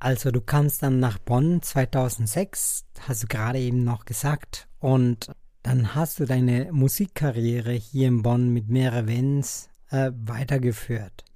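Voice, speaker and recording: Very slowly, a man speaks in a Spanish accent with a dark, mellow tone and a medium pitch. His pitch varies in an ordinary way, and his loudness stays very even. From Colombia. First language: Spanish (speaking German). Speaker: podcast host. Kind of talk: interview.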